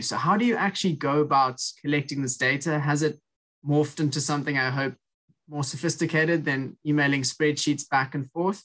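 A man talks in a South African accent. His pitch is fairly high and his pace fairly quick. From South Africa, Cape Town. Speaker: podcast host, student. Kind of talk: interview.

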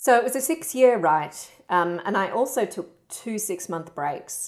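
A woman speaking with an Australian accent shows ordinary pitch variation. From Perth, Western Australia. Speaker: writer. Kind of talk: interview.

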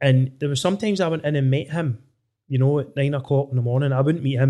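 Fairly even intonation and a very fast pace mark this voice with a west of Scotland accent. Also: man. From Scotland, Inverclyde area. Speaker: podcast host. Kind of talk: casual chat.

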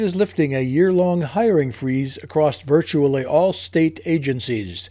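A man talks with lively intonation at a fairly high pitch. His tone is dark and mellow. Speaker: radio newsreader. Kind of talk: radio news bulletin read from a script. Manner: formal, measured, even-paced; neutral and matter-of-fact, with little emotion.

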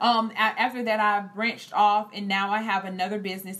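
A woman talks at a moderate pace and a medium pitch. She has an unremarkable speaking voice. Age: 20s. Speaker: entrepreneur and cosmetologist. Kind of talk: interview.

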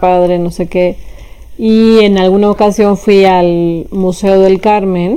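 A woman with a medium pitch and fairly even intonation speaks in a normal speaking voice. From Mexico City. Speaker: philosophy professor. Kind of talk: interview. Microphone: poor sound quality.

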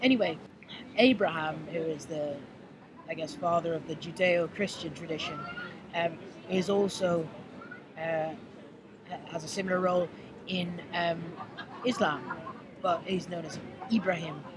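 The speaker has an Irish accent and leaves long, frequent pauses. Noticeable background noise runs under the voice. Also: moderate pace. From Ireland. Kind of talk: casual chat. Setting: outdoors.

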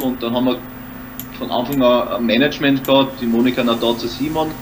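A man with an Austrian accent speaks at a moderate pace in a medium pitch, his intonation monotone and flat. Audible room echo and noticeable background noise fill the recording. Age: 30s. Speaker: actor and comedian. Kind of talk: casual interview. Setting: home studio.

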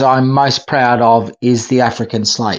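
The man's intonation is flat and monotone. His pace is fairly slow. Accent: Australian. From Australia. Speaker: film festival programmer. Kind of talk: casual chat.

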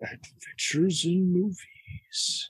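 A put-on character voice at a middle pitch. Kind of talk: dramatic trailer announcer.

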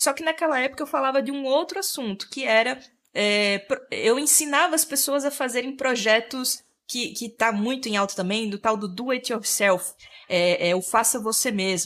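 A woman's high-pitched voice with lively intonation at a moderate pace, on a very clean recording with a silent background. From Sergipe, northeastern Brazil. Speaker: interior decorator and content creator. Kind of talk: interview, explanatory.

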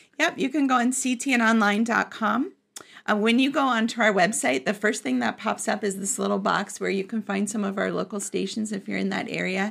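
On a very clean recording with a silent background, a woman talks with lively intonation, a fairly high pitch, and vocal fry. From Florida. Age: 50s. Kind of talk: casual interview. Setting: studio.

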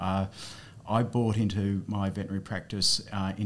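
A man speaks in an Australian accent. His pitch sits fairly low. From regional New South Wales, Australia. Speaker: politician, former veterinarian. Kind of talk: casual interview chat.

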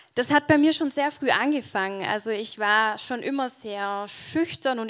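The speaker is a woman with a fairly high pitch. She talks at a fairly slow pace with ordinary pitch variation. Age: 20s. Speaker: church keyboardist, theology student. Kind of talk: testimony. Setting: church stage with audience.

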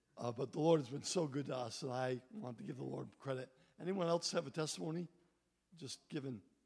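This man talks fairly quickly in a fairly high pitch with lively intonation. Vocal fry runs through his voice. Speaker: pastor. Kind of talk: closing remarks and announcements. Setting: church.

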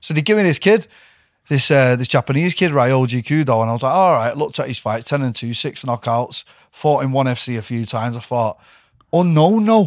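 Lively intonation from a man with a Mancunian accent, medium pitch and a fairly quick pace, on a very clean recording with a silent background. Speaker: MMA fighter. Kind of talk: casual chat.

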